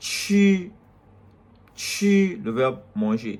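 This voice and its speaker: A man with lively intonation. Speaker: language teacher. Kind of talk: tutorial.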